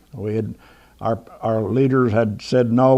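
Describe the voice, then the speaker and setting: This man has an American accent, a medium pitch, fairly even intonation and a dark, mellow tone. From United States. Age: 90s. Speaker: war veteran and author. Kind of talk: talk to an audience. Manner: halting.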